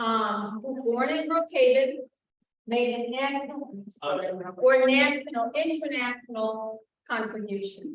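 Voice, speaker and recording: The woman's voice is high-pitched, with ordinary pitch variation. She speaks at a very slow pace, and room echo is audible. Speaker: town historian and archivist giving a talk. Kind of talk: history lecture to an audience.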